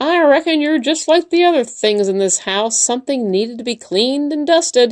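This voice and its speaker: A woman's high-pitched, put-on character voice at a fairly quick pace with hardly any pauses. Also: lively intonation, quiet background. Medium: read story. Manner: brisk, no-nonsense.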